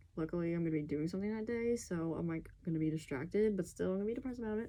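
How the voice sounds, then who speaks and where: The woman's voice is quiet and fairly low in pitch. She talks very fast with lively intonation. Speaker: video blogger. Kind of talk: casual monologue to camera. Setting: at home at night. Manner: speaking quietly; animated.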